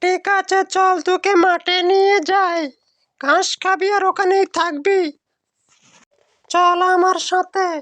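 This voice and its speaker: A cartoonish character voice, female-sounding, pitched extremely high for a woman. The intonation stays monotone and flat at a fairly slow pace. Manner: scolding.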